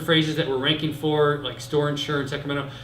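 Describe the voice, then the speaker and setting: Noticeable background noise and audible room echo accompany a man with an American accent and a fairly high pitch. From Michigan, US Midwest. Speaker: internet marketing consultant. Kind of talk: presentation to small group. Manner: fast.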